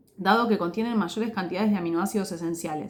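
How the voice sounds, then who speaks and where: Her pitch varies in an ordinary way. The woman speaks at a very fast pace. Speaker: sports nutrition educator. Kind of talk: educational talk.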